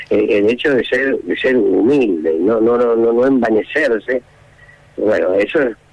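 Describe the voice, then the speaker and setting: With noticeable background noise behind him, a man talks at a fairly slow pace with very even loudness. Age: 70s. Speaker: former student recalling a teacher. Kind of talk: interview testimony. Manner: hesitant, many fillers.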